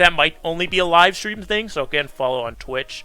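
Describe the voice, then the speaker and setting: Against music in the background, the speech moves at a fairly quick pace. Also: man. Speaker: gaming commentator. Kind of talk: live gameplay commentary. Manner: casual.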